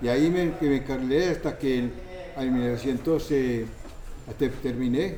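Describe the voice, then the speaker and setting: A man's medium-pitched voice at a moderate pace, with ordinary pitch variation, very even loudness and audible room echo. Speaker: interviewee. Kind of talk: interview. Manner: halting.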